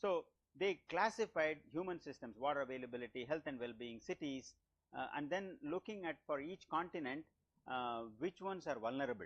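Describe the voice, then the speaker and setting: Fairly high-pitched man with an unremarkable speaking voice. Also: lively intonation, fairly quick pace. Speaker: lecturer. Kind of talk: lecture.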